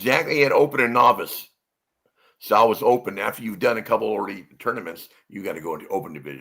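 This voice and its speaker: Someone with an American accent talks at a very fast pace with vocal fry. The intonation is lively. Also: man, medium pitch for a man. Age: 60s. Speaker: retired police officer. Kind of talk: casual interview. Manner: halting, frequent repetitions.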